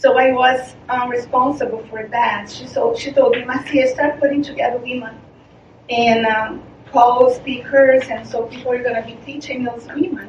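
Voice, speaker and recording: A high-pitched woman's voice with a Portuguese accent, monotone and flat in intonation, at a moderate pace with big swings in loudness, over noticeable background noise. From Brazil. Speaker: charity founder. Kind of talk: presentation. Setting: meeting presentation. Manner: halting.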